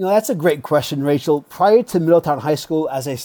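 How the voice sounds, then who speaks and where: With a slight Rhode Island accent, a man talks at a fairly quick pace in a dark, mellow tone, his pitch varying in an ordinary way. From Rhode Island, US. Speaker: school assistant principal. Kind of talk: interview. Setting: video call.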